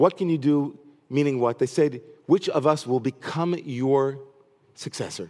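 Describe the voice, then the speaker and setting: A man talks at a fairly slow pace. His voice is fairly high, with a dark, mellow tone. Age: 40s. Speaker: rabbi. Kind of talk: sermon.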